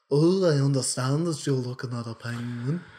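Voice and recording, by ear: Put on in a nasal British accent, this character voice moves at a moderate pace. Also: man, medium pitch for a man.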